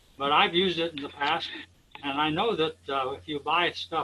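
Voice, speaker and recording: A man speaks at a moderate pace in a fairly high voice with ordinary pitch variation while noticeable background noise runs underneath. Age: 90s. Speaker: beekeeper, audience member. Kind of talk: Q&A discussion.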